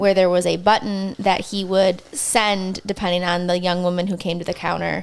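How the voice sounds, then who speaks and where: Vocal fry runs through a woman's medium-pitched voice, and her intonation stays fairly even. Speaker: podcast co-host. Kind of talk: casual chat.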